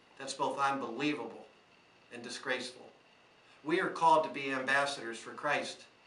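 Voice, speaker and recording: A man with a fairly high pitch talks at a fairly quick pace with fairly even intonation, leaving long, frequent pauses. The room echo is audible and there is noticeable background noise. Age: 60s. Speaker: small business owner. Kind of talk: prepared speech to camera. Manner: earnest.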